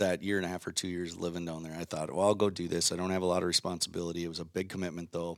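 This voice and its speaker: On a very clean recording with a silent background, a man speaks with an Upper Midwest accent. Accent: Upper Midwest (Minnesota). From Minnesota, Waconia. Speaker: professional angler. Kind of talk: casual chat.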